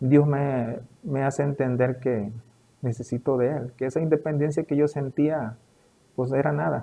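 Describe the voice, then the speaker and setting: An ordinary speaking voice from a man, fairly high in pitch, with fairly even intonation at a fairly slow pace. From Veracruz, Mexico. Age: 40s. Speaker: cancer survivor. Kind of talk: interview testimony.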